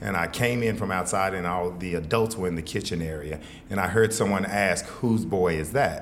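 In an American accent, a man speaks with a very deep, low pitch and ordinary pitch variation, with noticeable background noise and audible room echo. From Texas, Fort Worth. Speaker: author and leadership speaker. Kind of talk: interview conversation.

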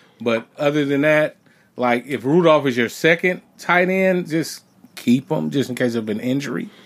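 A man speaks at a moderate pace in a normal speaking voice. His pitch sits fairly high, and his intonation is lively. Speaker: fantasy football podcast co-host. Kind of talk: casual banter about fantasy football.

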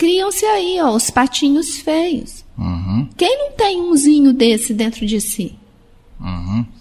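Noticeable background noise runs under this recording. A woman talks at a very slow pace. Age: 50s. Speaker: radio host. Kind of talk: casual chat.

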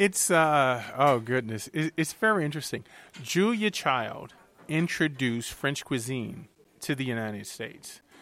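A man with an American accent speaks at a fairly slow pace with a fairly high pitch. His bright, sharp tone carries lively intonation, and the recording is very clean with a silent background. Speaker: TV chef. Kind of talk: interview.

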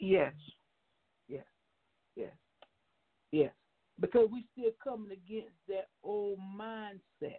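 Speaking at a very slow pace with long, frequent pauses, a woman at a medium pitch uses lively intonation and big swings in loudness. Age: young. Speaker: minister. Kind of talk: radio interview. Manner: animated.

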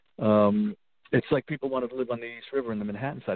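A man's medium-pitched voice in a New York accent, at a very fast pace with very wide pitch swings. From New York, the Bronx. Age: 60s. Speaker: rock guitarist. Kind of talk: interview. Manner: halting.

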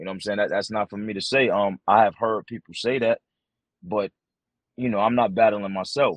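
Recorded dry and close with no echo in a quiet background, a man with an unremarkable speaking voice talks at a fairly quick pace, with fairly low pitch and fairly even intonation. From Bronx, New York City. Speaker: battle rapper. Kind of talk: casual interview chat.

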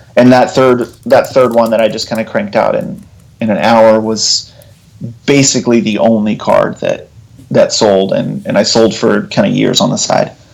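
Against noticeable background noise, a man with an American accent talks at a moderate pace. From Texas (Abilene, Lubbock). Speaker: author and illustrator. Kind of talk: interview conversation.

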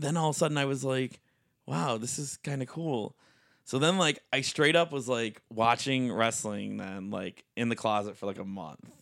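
A man at a medium pitch, an ordinary speaking voice at a moderate pace, on a very clean recording with a silent background. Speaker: wrestling referee. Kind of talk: casual podcast interview. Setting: home recording.

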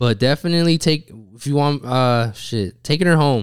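A man with an American accent talks at a moderate pace in an ordinary speaking voice. His pitch is medium, with ordinary pitch variation. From Utah. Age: 20s. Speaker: barber. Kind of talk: casual chat.

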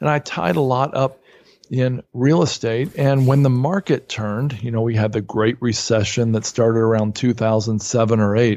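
A man with an unremarkable speaking voice, medium pitch, ordinary pitch variation and a moderate pace against a quiet background. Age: 50s. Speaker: real estate investor and author. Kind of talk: podcast interview.

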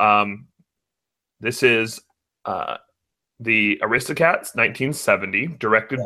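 On a very clean recording with a silent background, a man speaks very slowly in a bright, sharp tone with ordinary pitch variation. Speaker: podcast co-host. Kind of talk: casual chat. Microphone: new microphone.

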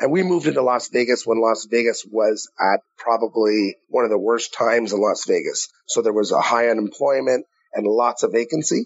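A man in a Canadian accent talks at a moderate pace with hardly any pauses and very even loudness. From Canada, Ottawa. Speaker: entrepreneur. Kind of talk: interview.

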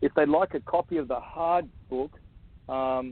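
A fairly high-pitched man at a very slow pace, in an Australian accent. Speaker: author and abuse survivor advocate. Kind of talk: interview.

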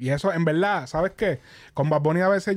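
On a very clean recording with a silent background, a man talks very fast in a high voice with a Puerto Rican accent and ordinary pitch variation. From Puerto Rico. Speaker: podcast host. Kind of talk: casual chat. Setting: studio. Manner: animated.

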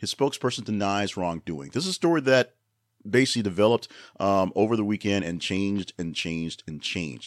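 In an ordinary speaking voice, a man talks at a fairly quick pace and a fairly low pitch with lively intonation, on a very clean recording with a silent background and a dry, close sound with no echo. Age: 40s. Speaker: news podcast host. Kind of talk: news commentary. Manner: casual, with many fillers.

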